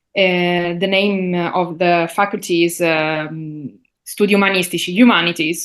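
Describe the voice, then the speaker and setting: Fairly slow, fairly even speech in an Italian accent over a quiet background. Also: woman, fairly low pitch for a woman. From Sicily, Italy. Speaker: linguist, university lecturer. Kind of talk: interview. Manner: halting, many fillers.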